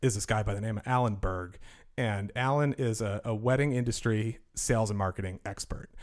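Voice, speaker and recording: A man speaks with an American accent in a plain, everyday voice, at medium pitch and a fairly quick pace with fairly even intonation. The recording is very clean, with a silent background. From Milton, Massachusetts (Boston area). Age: 30s. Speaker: wedding DJ, business owner. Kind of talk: interview.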